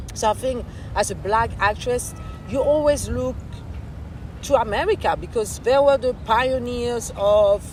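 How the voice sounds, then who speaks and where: A woman in a French accent, fairly slow, with long, frequent pauses and noticeable background noise. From France. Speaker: actress and filmmaker. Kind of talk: interview.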